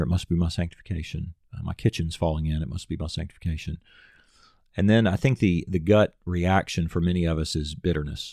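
Very fast speech with a Southern US accent and fairly even intonation, in a very clean recording with a silent background and a dry, close sound with no echo. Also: man. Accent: Southern American. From US South, Nashville, Tennessee. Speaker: pastor. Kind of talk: casual chat.

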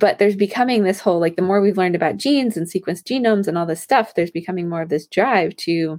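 A woman's animated voice at medium pitch, very fast pace and ordinary pitch variation, on a very clean recording with a silent background. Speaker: women's health coach and podcast host. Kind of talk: solo podcast talk. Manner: soft-spoken.

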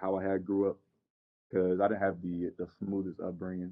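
The man's voice sits very deep and low. He has an American accent. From Southern California. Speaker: junior college basketball player. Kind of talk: interview.

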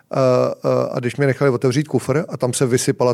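A man with a medium pitch and fairly even intonation races along at a very fast pace. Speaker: bar owner and founder. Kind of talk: casual interview chat.

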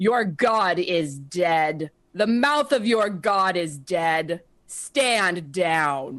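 A woman uses a booming, put-on character voice at medium pitch. She goes at a very slow pace over a quiet background. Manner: booming, ringing, commanding.

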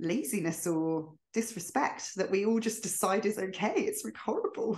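A woman's somewhat breathy voice with lively intonation at a moderate pace. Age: 30s. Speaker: podcast host and quitting coach. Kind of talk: interview, casual chat.

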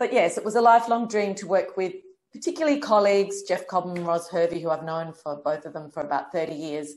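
A woman with an Australian accent, medium in pitch, at a fairly quick pace with ordinary pitch variation. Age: 50s. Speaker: director and choreographer. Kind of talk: interview.

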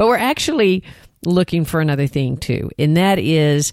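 In a Texan accent, a woman with a fairly low pitch talks at a moderate pace with lively intonation, recorded dry and close with no echo against a silent background in a very clean recording. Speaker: therapist and podcast co-host. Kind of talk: casual chat.

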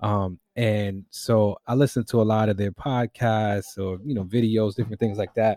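A man's fairly low, dark, mellow voice in a New York accent, moderate in pace with hardly any pauses, fairly even intonation and a dry, close sound with no echo. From New York City, the Bronx. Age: 30s. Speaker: hip-hop artist and musician. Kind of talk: casual chat.

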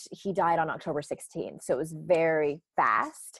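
Captured in a very clean recording over a silent background, the speaker has an American accent and fairly even intonation. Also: woman. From US West Coast (San Diego, California). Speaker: author and life coach. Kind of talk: interview.

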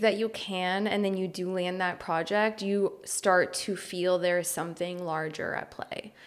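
A woman speaks with a Californian accent. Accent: Californian American English. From Los Angeles, US. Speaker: photographer and podcast co-host. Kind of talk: interview, talking about her life.

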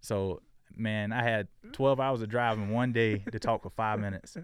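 A man's fairly low voice at a moderate pace with fairly even intonation, with an American accent, on a very clean recording with a silent background. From Florida. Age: 20s. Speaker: sports agent. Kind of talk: casual interview.

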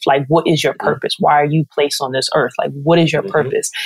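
A woman speaks with an American accent. Her very deep, low pitch stays fairly even in intonation. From New York. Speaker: TV sports producer. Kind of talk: interview. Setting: podcast.

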